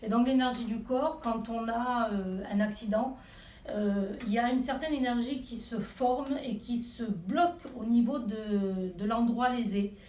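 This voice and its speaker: A woman speaks very slowly in a high pitch with ordinary pitch variation. Room echo and background noise are both noticeable. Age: 40s. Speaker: Reiki practitioner and massage therapist. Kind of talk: interview. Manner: hesitant, many fillers.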